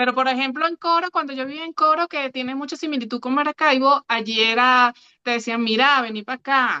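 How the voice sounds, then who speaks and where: A woman with a Caracas accent speaks in a high, raised and projected voice at a fairly quick pace. Her pitch varies in an ordinary way, and the sound is dry and close with no echo. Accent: Venezuelan (Caracas). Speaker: podcast co-host. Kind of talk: casual chat.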